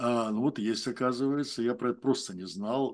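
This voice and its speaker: Over a quiet background, a man keeps up a moderate pace. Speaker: discussion club moderator. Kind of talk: moderated discussion. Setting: video call.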